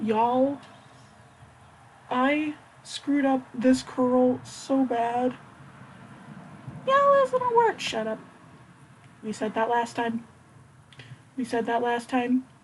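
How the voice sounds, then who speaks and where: Noticeable background noise sits behind a woman's high-pitched voice. She talks very slowly in a flat monotone, with long, frequent pauses. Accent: American. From US Midwest. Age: 20s. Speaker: beauty vlogger. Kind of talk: casual tutorial vlog.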